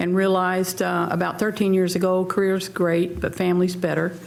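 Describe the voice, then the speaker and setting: In a room with audible echo, a woman with an American accent speaks at a moderate pace and a medium pitch, her intonation monotone and flat. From US South, North Carolina. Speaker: restaurant owner, town council member. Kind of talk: candidate forum opening statement.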